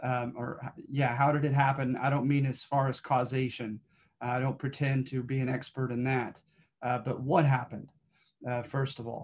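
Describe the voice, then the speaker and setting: A man speaks at a moderate pace in a somewhat breathy voice. His intonation stays flat and monotone. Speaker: history instructor. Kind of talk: lecture. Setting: video call. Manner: halting, many filler words. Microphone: webcam.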